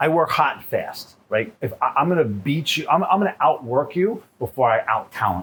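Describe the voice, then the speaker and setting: Vocal fry, very wide pitch swings and big swings in loudness at a moderate pace, with hardly any pauses. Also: man, fairly high pitch for a man. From New York City. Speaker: chef and restaurant owner. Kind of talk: casual interview chat. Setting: in his restaurant. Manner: animated.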